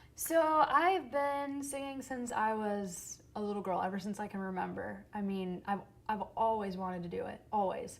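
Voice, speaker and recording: Her medium-pitched voice carries lively intonation at a moderate pace, and audible room echo surrounds the woman speaking. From Michigan and England, moved often. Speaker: singer-songwriter and actor. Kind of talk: talk show interview. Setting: theater stage.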